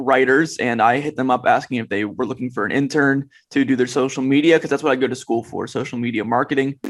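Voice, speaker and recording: In a very clean recording with a silent background, a man speaks at a fairly quick pace. He has a normal speaking voice at a medium pitch. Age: 20s. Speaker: fantasy football analyst. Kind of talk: podcast interview.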